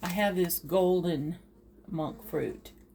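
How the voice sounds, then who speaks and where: A woman with a fairly low pitch speaks in fairly even intonation over noticeable background noise. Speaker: home cook. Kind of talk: cooking tutorial. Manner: slow; halting.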